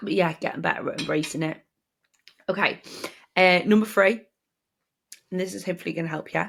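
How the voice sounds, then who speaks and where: Speaking at a very fast pace yet with long, frequent pauses, a woman uses a medium pitch and fairly even intonation. Vocal fry runs through her voice. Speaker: podcast host. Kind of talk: casual monologue. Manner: conversational, chatty.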